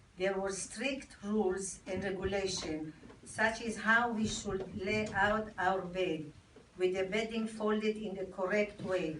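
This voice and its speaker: With audible room echo, a woman in an Israeli accent speaks at a medium pitch and a fairly slow pace, her intonation fairly even. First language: Hebrew. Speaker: army veteran. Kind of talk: reading aloud. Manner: halting.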